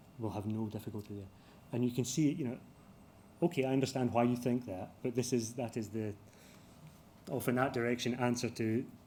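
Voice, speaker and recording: A dark, mellow tone at a fairly quick pace, with fairly even intonation and audible room echo. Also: man, long, frequent pauses. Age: 50s. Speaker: construction company executive. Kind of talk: conference Q&A talk. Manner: halting, many fillers and restarts.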